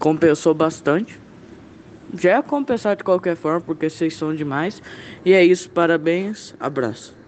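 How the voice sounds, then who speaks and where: A man with a high-pitched voice and ordinary pitch variation, at a fairly slow pace with long, frequent pauses. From Campo Grande, Mato Grosso do Sul, Brazil. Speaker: beginner comedian. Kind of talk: voice message.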